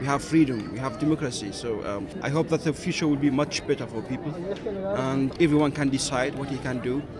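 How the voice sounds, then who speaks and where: A man with a German accent speaks at a fairly quick pace and a fairly high pitch. His pitch varies in an ordinary way, and crowd noise sits in the background. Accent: German-tinged. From Syria. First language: Arabic. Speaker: sales manager, passerby. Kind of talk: casual street interview.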